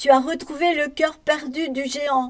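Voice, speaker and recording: In a put-on character voice, a woman projects loudly at a high pitch with monotone, flat intonation. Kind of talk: bedtime story. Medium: read story.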